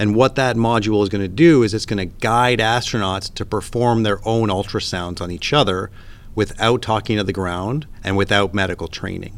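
A man with a Canadian accent speaks in a normal speaking voice at a fairly low pitch. He keeps a moderate pace with ordinary pitch variation. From Canada. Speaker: emergency physician and space medicine scientist. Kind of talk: interview.

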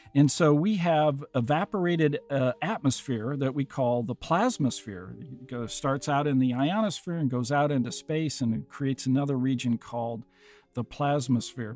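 This man has a Midwestern American accent and a fairly high pitch. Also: ordinary pitch variation, moderate pace. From US Midwest, Iowa. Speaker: planetary scientist and podcast host. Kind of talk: interview, telling his story. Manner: halting, many fillers.

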